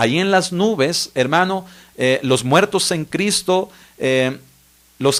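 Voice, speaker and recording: This man's fairly high voice moves very slowly, its pitch varying in an ordinary way. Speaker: pastor. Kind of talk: bible study teaching.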